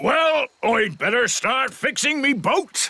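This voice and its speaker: In a cartoonish character voice, the speaker uses a high pitch and a fairly slow pace. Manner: hearty, folksy.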